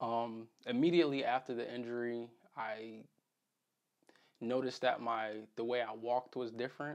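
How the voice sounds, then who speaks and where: A man with an American accent at medium pitch, moderate pace, monotone and flat, with long, frequent pauses. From Connecticut, US. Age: 20s. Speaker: vlogger recounting injury recovery. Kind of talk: personal vlog. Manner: casual with frequent fillers.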